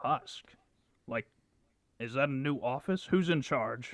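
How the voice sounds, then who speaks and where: Putting on a gruff character voice, a man speaks at a medium pitch and a fairly slow pace. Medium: actual play.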